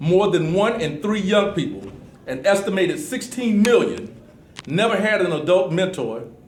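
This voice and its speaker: A man speaks with lively intonation at a moderate pace, noticeable noise running in the background. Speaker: Air Force veteran, mentor. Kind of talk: talk to a classroom audience.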